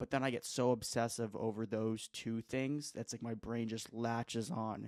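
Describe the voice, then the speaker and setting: In a very clean recording with a silent background and a dry, close sound with no echo, a man with a plain, everyday voice speaks at a medium pitch with fairly even intonation. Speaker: vlogger, aspiring comedian. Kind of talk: casual monologue. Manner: rambling, filler-heavy.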